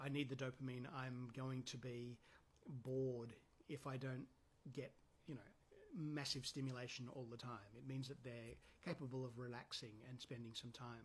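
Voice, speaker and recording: Somewhat breathy, a man's voice comes through. He keeps a moderate pace. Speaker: counsellor. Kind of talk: casual talk to camera. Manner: hesitant with many ums.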